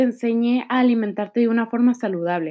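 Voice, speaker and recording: A woman talks at a moderate pace in a normal speaking voice, her fairly high pitch rising and falling in an ordinary way. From Mexico. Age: 20s. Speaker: nutrition student and podcaster. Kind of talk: solo podcast monologue.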